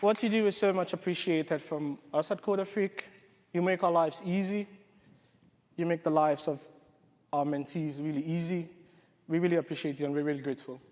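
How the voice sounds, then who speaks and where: A man with a British accent, a high pitch and fairly even intonation, at a fairly quick pace with long, frequent pauses. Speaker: software developer and coding bootcamp organiser. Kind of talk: conference talk.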